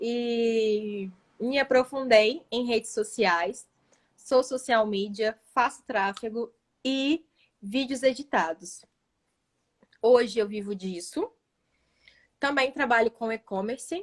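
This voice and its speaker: A woman at a very slow pace, with a fairly high pitch, ordinary pitch variation and long, frequent pauses. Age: 20s. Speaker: social media manager and online seller. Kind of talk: live stream interview.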